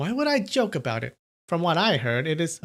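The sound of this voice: Putting on a character voice, a man speaks fairly quickly in a high pitch with very wide pitch swings.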